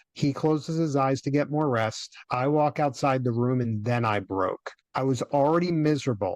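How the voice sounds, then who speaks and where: A man with an American accent and an ordinary speaking voice talks at a moderate pace, his fairly high pitch showing ordinary variation, his loudness very even, and the sound dry and close with no echo. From US. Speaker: cash flow coach, former dentist. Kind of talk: podcast interview, personal story.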